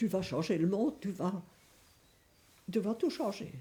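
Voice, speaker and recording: Her medium-pitched voice has a dark, mellow tone, sounds somewhat breathy, and moves with lively intonation. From Belgium, Verviers (Wallonia). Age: 80s+. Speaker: elderly interviewee, grandmother. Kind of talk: documentary interview, reminiscing. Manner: hesitant, with frequent fillers.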